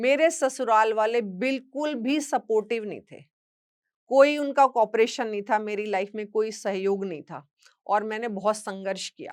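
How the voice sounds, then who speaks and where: A woman with an unremarkable speaking voice, fairly high-pitched, with ordinary pitch variation. Her loudness swings widely, and the recording is very clean with a silent background. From western Uttar Pradesh village near Haryana. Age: 60s. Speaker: social media creator and motivational speaker. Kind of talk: personal testimony talk.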